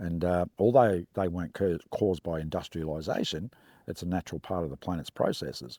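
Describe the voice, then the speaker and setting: Recorded very cleanly against a silent background, a man with an Australian accent has a dark, mellow tone and a dry, close sound with no echo. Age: 60s. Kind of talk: interview testimony. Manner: hesitant, many fillers.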